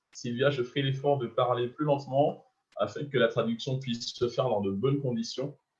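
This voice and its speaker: A man's somewhat breathy voice at medium pitch, with fairly even intonation and a moderate pace. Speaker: business opportunity presenter. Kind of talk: sales pitch.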